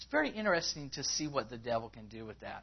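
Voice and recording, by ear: Big pitch swings at a fairly quick pace, with a slightly husky edge. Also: man.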